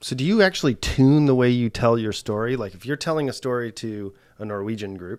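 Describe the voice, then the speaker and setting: Very clean recording, silent background, with a man using a normal speaking voice at medium pitch. His intonation is lively. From United States. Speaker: podcast host. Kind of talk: interview conversation. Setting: in person in an office.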